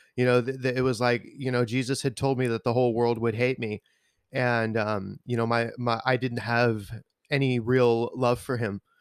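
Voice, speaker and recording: The speaker talks at a moderate pace with flat, monotone intonation. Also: man, medium pitch for a man. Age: 30s. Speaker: worship musician. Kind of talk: testimony.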